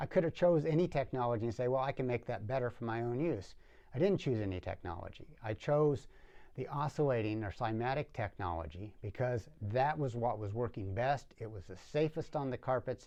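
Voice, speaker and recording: Lively intonation runs through this man's medium-pitched voice. He speaks at a fairly quick pace. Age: 60s. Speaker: professional cleaner and product reviewer. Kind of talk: product review demonstration. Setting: studio workshop. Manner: halting, with frequent restarts.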